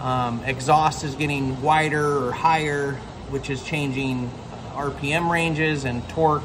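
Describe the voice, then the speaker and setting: Music plays in the background. The speaker goes at a fairly slow pace with fairly even intonation. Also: man. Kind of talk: casual tutorial chat. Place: workshop.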